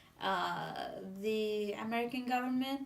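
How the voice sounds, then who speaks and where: A woman with a Syrian accent speaks at a fairly high pitch with fairly even intonation. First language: Arabic. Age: 20s. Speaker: civil engineer. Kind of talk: interview answer.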